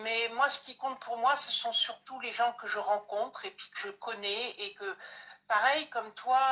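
This woman has a high pitch and ordinary pitch variation, speaking at a fairly slow pace. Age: 60s. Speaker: card reader, medium. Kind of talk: casual live-stream chat.

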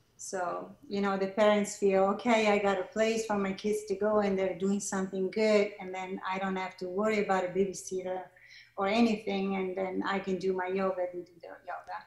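At a moderate pace, a woman with an Italian accent speaks at a medium pitch in a monotone, flat intonation. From Italy, Milan. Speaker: yoga teacher and studio founder. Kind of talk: interview.

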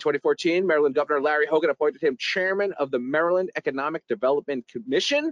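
With an American accent, a man talks at a fairly quick pace and with lively intonation. The sound is dry and close, without echo. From New York, the Bronx. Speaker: podcast host. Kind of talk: casual interview.

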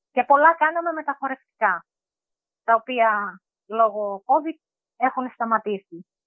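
A woman talks fairly slowly. Her voice is high-pitched, with lively intonation. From Greece, Thrace (Evros, village near Orestiada). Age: 40s. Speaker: homemaker. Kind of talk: interview. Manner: halting, with fillers.

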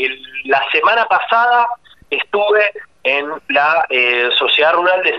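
A man's voice over noticeable background noise. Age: 30s. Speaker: agricultural management consultant. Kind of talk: radio interview.

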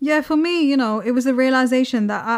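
A woman talks at a fairly quick pace with ordinary pitch variation.

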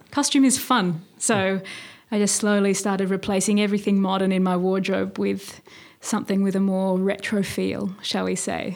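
A woman with an Australian accent, at a medium pitch and a moderate pace, with monotone, flat intonation. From Australia, Sydney. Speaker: novelist and poet. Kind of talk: casual interview.

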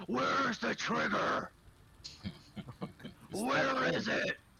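Shouting in a raspy, put-on character voice, a man drags his words out at a very slow pace. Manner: yelling, demanding.

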